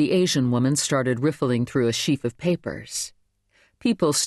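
Quiet surroundings behind a natural reading voice.

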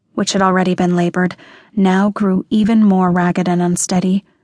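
In a dry, close recording with no echo and a quiet background, a woman talks at a moderate pace in a somewhat breathy, monotone voice with flat intonation. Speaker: audiobook narrator. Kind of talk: dramatic audiobook narration of a dark thriller, reading aloud. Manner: dramatic, measured and intense.

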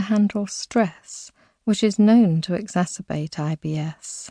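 A woman speaks at a very slow pace in a dark, mellow, soothing and gentle tone, somewhat breathy, with ordinary pitch variation. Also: quiet background. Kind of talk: guided meditation. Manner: slow, soothing, gentle; soft, hypnotic, measured pacing.

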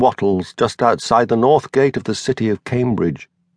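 An unremarkable speaking voice goes at a fairly quick pace with ordinary pitch variation, in a dry, close sound with no echo. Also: man. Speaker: audiobook narrator. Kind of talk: scripted narration of a fictional elderly actor's bawdy memoir, first person. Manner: wry, conspiratorial old raconteur relishing lurid childhood details.

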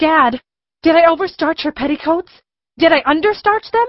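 This woman's voice is extremely high. She talks at a moderate pace with lively intonation. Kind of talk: period drama acting. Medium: audio drama. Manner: indignant, haughty, protesting.

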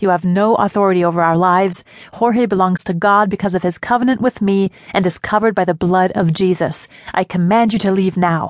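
Speaking at a fairly quick pace with a medium pitch, the woman keeps her intonation fairly even and her loudness very even, in a dry, close sound with no echo. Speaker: audiobook narrator. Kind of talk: fervent prayer of spiritual warfare, read aloud in a memoir audiobook. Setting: studio audiobook recording. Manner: intense, commanding, forceful, repeating "back off" with rising insistence; impassioned, urgent, declamatory.

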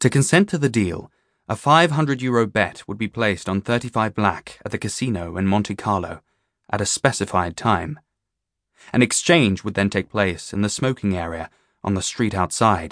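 Against a quiet background, a man delivers a dramatic tone at a fairly low pitch and moderate pace, with lively intonation and a dry, close sound with no echo. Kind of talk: audiobook narration of a children's thriller. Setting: studio. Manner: dramatic, suspenseful, storyteller pacing; crisp, clipped, with character voices and French phrases.

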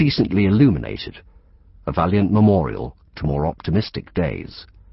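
A man with a very deep, low pitch and vocal fry speaks at a moderate pace, his pitch swinging very widely. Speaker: audiobook narrator. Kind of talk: audiobook narration, reading a literary novel aloud. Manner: precise, formal and evocative, with a descriptive flow.

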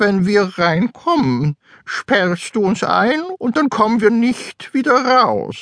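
A man with a put-on character voice talks very slowly at a high pitch. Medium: read story. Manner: suspicious, bossy.

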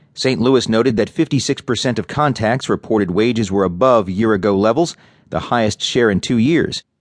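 A man speaks at a fairly quick pace with a medium pitch, ordinary pitch variation and an unremarkable speaking voice. His loudness stays very even, and the sound is dry and close with no echo over a quiet background. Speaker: audiobook narrator. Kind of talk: news reading. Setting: studio. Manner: formal; measured, even-paced, neutral.

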